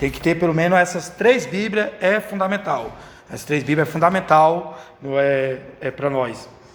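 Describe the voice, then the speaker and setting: Through audible room echo and noticeable background noise, a man speaks at a high pitch and a moderate pace. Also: ordinary pitch variation. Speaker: Sunday school teacher trainer. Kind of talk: lecture. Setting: church. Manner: halting.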